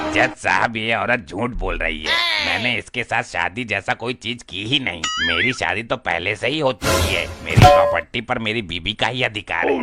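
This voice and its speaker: A man's cartoonish character voice at medium pitch, with faint music in the background. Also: moderate pace. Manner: folksy, blundering.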